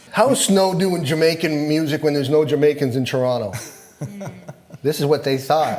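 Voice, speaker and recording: At a moderate pace with long, frequent pauses, the speaker uses ordinary pitch variation over noticeable background noise. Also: man, fairly high pitch for a man. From Toronto. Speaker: reggae artist. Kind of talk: casual interview talk. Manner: storytelling, casual.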